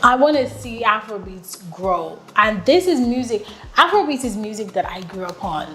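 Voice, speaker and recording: An animated tone and lively intonation over noticeable background noise. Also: woman. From Nigeria, Lagos. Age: 30s. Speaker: podcast host. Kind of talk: casual monologue.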